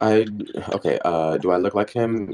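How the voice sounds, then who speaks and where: A quiet man's voice. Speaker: self-employed musician. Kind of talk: casual chat. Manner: soft-spoken.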